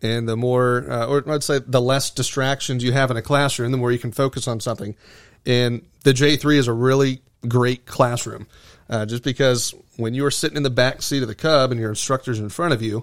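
A man with an American accent and a normal speaking voice, medium in pitch, at a fairly quick pace with fairly even intonation, on a very clean recording with a silent background. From US, Florida (Venice, Sarasota County). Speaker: seaplane flight school owner and pilot examiner. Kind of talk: casual interview.

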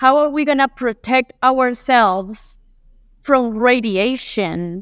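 A woman with a Colombian accent and a high voice at a very slow pace, on a very clean recording with a silent background. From Colombia, Medellin. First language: Spanish. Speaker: aerospace materials engineer. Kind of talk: interview.

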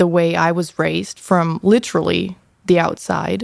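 Speaking in a German accent, a woman keeps a fairly low pitch and fairly even intonation. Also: very clean recording, silent background. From Germany. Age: 20s. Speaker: university student. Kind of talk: casual chat.

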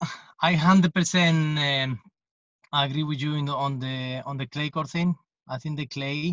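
Speech comes at a fairly slow pace with long, frequent pauses. The intonation stays fairly even. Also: man, fairly high pitch for a man. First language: Spanish. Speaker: tennis coach. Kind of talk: podcast interview.

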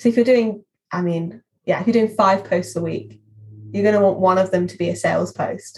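A woman's somewhat breathy, medium-pitched voice at a fairly quick pace, with monotone, flat intonation. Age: 20s. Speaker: social media marketing executive. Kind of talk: interview.

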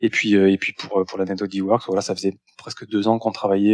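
In a dry, close recording with no echo, a man with a fairly low pitch speaks at a fairly slow pace in a flat monotone. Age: 40s. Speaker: startup founder. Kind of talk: interview. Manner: halting, many repetitions.

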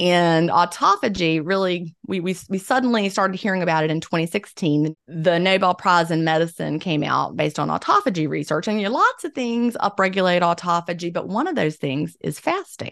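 A woman uses a plain, everyday voice with a fairly low pitch and ordinary pitch variation. She moves at a fairly quick pace with hardly any pauses, against a quiet background. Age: 50s. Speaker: author and former teacher. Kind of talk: interview.

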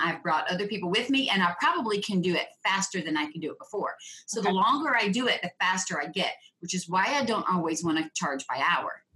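With an ordinary speaking voice, the speaker moves at a fairly quick pace with lively intonation. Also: woman. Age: 50s. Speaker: profitability coach. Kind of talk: interview.

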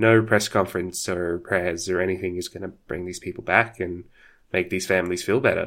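A man with a very deep, low pitch speaks with an Australian accent. His pace is fairly quick and his intonation fairly even. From Australia, Sydney. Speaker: podcaster and streamer. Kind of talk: casual chat.

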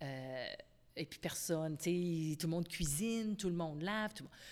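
A woman speaks in a Quebec accent at a moderate pace, her pitch fairly low. The recording is very clean, with a silent background. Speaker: company founder. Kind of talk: interview.

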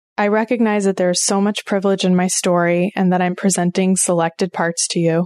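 Over a quiet background, a woman with an American accent speaks at medium pitch and a moderate pace, her dark, mellow tone flat and monotone in a dry, close sound with no echo. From Oklahoma. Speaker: podcast host. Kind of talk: personal narrative monologue.

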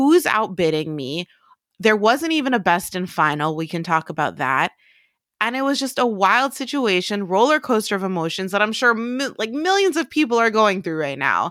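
At a moderate pace and in an animated tone, a woman with a fairly high voice swings her pitch very widely on a very clean recording with a silent background. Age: 30s. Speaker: podcast producer and co-host. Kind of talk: casual chat. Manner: animated, laughing.

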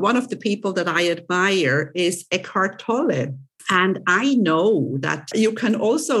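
A woman speaks at a fairly slow pace in a medium pitch, her voice swinging very widely in pitch while its loudness stays very even, on a very clean recording with a silent background. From Switzerland. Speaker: podcast host. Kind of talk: casual interview.

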